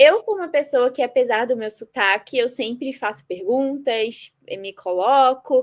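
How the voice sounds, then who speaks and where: With a high pitch and ordinary pitch variation, a woman talks fairly slowly with hardly any pauses over a quiet background. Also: big swings in loudness. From Brazil, Nova Iguaçu, Rio de Janeiro. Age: 20s. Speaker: medical student. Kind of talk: podcast interview.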